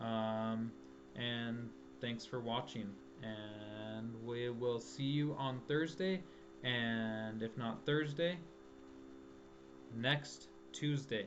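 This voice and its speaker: Amid audible room echo, a man with a medium-pitched voice speaks very slowly, with long, frequent pauses and very wide pitch swings. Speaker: math and physics tutor. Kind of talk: tutorial. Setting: live stream.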